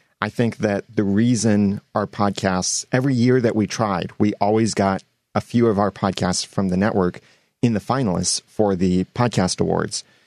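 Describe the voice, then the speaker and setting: A man with an unremarkable speaking voice talks at a moderate pace, his fairly low pitch held in fairly even intonation at very even loudness, the sound dry and close with no echo. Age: 30s. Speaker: podcasting expert and guest co-host. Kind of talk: casual chat.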